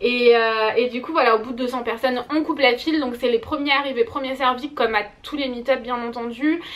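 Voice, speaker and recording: A woman with a high pitch talks at a fairly quick pace, hardly pausing at all. Her tone is animated. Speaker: beauty vlogger. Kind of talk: casual vlog.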